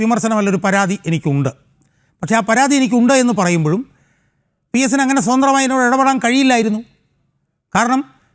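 A man speaks with ordinary pitch variation. His loudness stays very even. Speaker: political activist. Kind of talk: interview statement.

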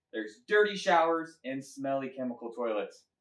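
A man's voice moves in very wide pitch swings. Room echo is audible around it. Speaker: presenter. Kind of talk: children's sermon. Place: garage. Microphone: camera far.

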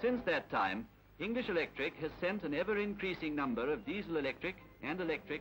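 Lively intonation at a very fast pace, with music in the background. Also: man. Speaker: newsreel narrator. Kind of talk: documentary newsreel commentary.

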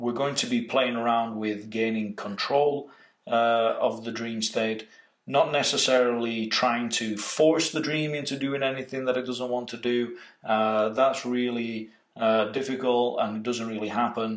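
Audible room echo surrounds a man's medium-pitched voice against a quiet background. He talks at a fairly slow pace in a monotone, flat intonation. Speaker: meditation and lucid dreaming trainer. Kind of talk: workshop introduction lecture. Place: home room.

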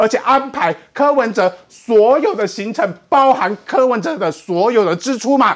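Against a quiet background, a man with an extremely high pitch talks at a fairly slow pace, his intonation lively. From Taiwan. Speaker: political commentator. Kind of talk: political talk show panel. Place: studio.

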